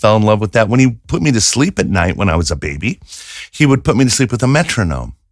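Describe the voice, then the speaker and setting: With an American accent and a plain, everyday voice, a man speaks fairly quickly at a fairly low pitch in a very clean recording with a silent background. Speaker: voice coach, audio engineer, demo producer. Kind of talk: casual interview answer, conversational storytelling.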